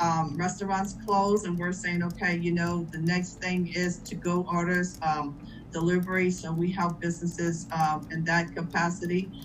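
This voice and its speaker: The voice is somewhat breathy and delivered in a flat monotone, with audible echo from the room. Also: woman, fairly low pitch for a woman, moderate pace. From Louisiana. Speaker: chamber of commerce leader. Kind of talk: panel discussion.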